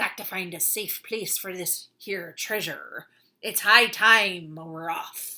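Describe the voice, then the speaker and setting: Bellowing loudly in a put-on character voice, a woman speaks at a medium pitch and a fairly slow pace. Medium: read story. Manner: loud, bellowing.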